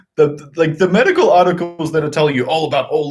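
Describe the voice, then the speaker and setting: Very fast, animated speech over music in the background. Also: man. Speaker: movie reaction channel co-host. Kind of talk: casual live-stream chat.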